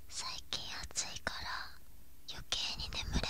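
The voice belongs to a woman. Everything comes out in a whisper. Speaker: ASMR creator. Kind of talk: ASMR whisper. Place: home room. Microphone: studio mic.

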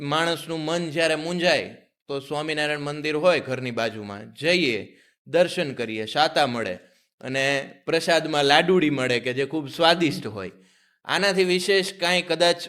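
The recording is very clean, with a silent background. A man talks in a bright, sharp tone at a fairly high pitch with ordinary pitch variation. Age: 20s. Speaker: podcast host. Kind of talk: interview.

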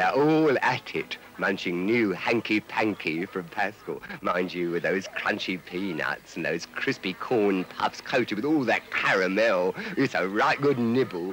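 A man talks at a fairly low pitch with lively intonation. His pace is fairly slow with hardly any pauses, and noticeable background noise is present. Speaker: voice-over artist. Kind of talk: TV commercial voice-over. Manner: cheeky, comic.

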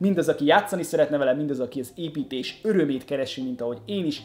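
A man at a very fast pace, with ordinary pitch variation. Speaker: LEGO news host. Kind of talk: casual vlog commentary. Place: home room.

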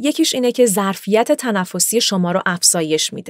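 A woman speaks fairly quickly in a fairly high voice. The background is quiet and the sound is dry with no echo. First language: bilingual (speaking Persian). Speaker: voice actor and voice-over artist; voice actor, narrator teaching voice work. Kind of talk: tutorial. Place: booth. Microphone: studio mic.

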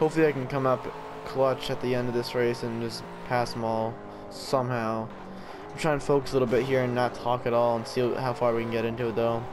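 Mumbling at a very fast pace, a man speaks at a medium pitch in a monotone, flat intonation while music plays in the background. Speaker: gaming video commentator. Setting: racing video game commentary recording. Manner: fast talker, slightly mumbled speech.

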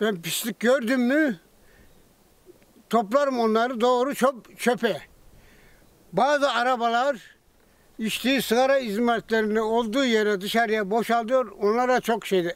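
Pausing long and often, a man speaks at a fairly slow pace with an extremely high pitch and ordinary pitch variation. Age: 80s+. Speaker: retired cyclist who cleans streets and feeds strays. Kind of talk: news interview answer.

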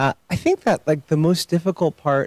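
Against a quiet background, a man talks at a moderate pace, and the sound is dry, with no echo. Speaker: lawyer featured in documentary. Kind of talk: Q&A answer to audience. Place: stage. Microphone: handheld.

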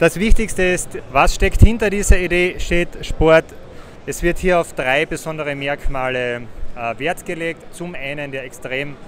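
A man speaks at a fairly slow pace, with ordinary pitch variation and big swings in loudness. The sound is dry with no echo, and there is light background noise. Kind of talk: interview answer. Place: hall. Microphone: handheld.

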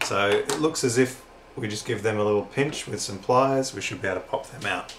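Noticeable background noise runs throughout. The man delivers his words at a fairly quick pace. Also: ordinary pitch variation. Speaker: DIY hobbyist. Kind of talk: casual talk while working. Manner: awkward, stumbling. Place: office.

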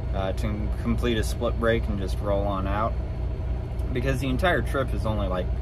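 A man with ordinary pitch variation, dry sound with no echo and noticeable background noise. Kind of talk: casual vlog chat. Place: car. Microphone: phone near.

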